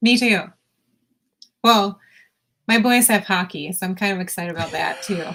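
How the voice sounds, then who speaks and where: A woman speaks loudly at a moderate pace, with long, frequent pauses. Her medium pitch has ordinary variation and a bright, sharp tone. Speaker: podcast co-host. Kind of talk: casual chat.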